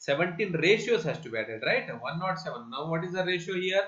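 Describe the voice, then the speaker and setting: Amid audible room echo, a man with a bright, sharp tone speaks with fairly even intonation. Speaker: bank exam coach. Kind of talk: tutorial. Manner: slow, repetitive explanation.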